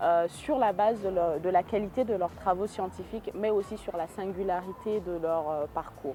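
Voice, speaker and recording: Music plays in the background behind a moderate pace. Pitch varies in an ordinary way, with hardly any pauses. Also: woman, medium pitch for a woman. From Niger, Niamey. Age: 20s. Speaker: hydrogeologist and researcher. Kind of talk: interview testimony. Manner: frequent hesitations.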